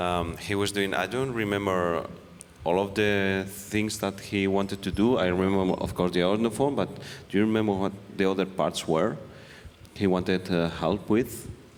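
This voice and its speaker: A man with a non-native accent speaks at a moderate pace and fairly low pitch. His intonation is fairly even and his loudness very even. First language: not English. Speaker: engineering team member. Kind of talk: panel discussion. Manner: halting.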